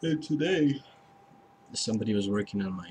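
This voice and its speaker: Amid noticeable background noise, a man with a fairly low pitch speaks at a moderate pace with lively intonation. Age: 60s. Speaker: vlogger. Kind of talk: casual personal video diary. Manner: halting, with many restarts and fillers.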